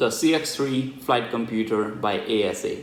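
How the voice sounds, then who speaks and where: Audible room echo surrounds a man speaking at medium pitch with ordinary pitch variation. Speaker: tech reviewer and student pilot. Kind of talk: unboxing review. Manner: casual, chatty.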